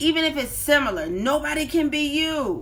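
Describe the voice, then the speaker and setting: Projecting in a raised voice, a woman speaks with an animated tone and lively intonation amid audible room echo. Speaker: life coach and motivational speaker. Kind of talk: live-streamed motivational talk. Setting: live stream on social media. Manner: loud.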